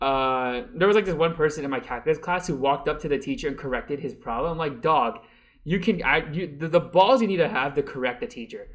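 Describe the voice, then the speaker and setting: A man's fairly high voice at a very fast pace, with lively intonation and a quiet background. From born in a Mandarin-speaking country, raised English-speaking. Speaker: college student vlogger. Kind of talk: casual vlog monologue. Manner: halting, many fillers and restarts.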